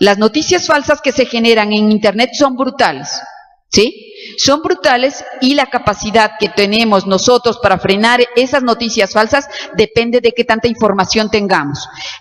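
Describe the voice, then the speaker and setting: A woman's fairly high-pitched voice with lively intonation and very even loudness, over noticeable background noise. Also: moderate pace. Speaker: law professor. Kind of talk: lecture. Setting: auditorium with audience.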